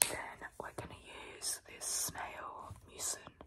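Someone is whispering at a very slow pace. Noticeable background noise is present. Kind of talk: ASMR skincare role play.

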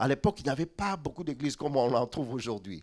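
A man speaks with vocal fry. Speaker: pastor. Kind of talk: sermon. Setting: church. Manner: repeats syllables when speaking.

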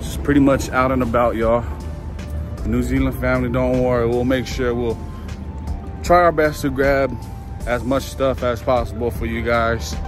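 With clear music in the background and a dry sound with no echo, the speech moves at a moderate pace with long, frequent pauses. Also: man. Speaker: vlogger. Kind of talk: casual vlog chat. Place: street. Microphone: phone near.

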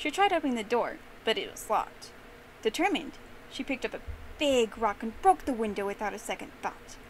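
Playful, fairly quick delivery with very wide pitch swings and noticeable background noise. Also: woman. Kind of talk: fairy-tale narration. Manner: animated storyteller; playful, voices characters.

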